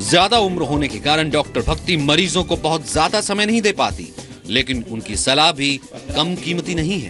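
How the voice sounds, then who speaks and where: There is music in the background as a man speaks with lively intonation. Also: fairly high pitch for a man. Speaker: TV news reporter. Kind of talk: TV news report narration.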